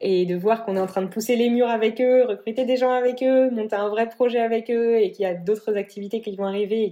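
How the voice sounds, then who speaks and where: A woman is speaking. Her tone is dark and mellow. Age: 20s. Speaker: entrepreneur. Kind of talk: interview. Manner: hesitant, many fillers.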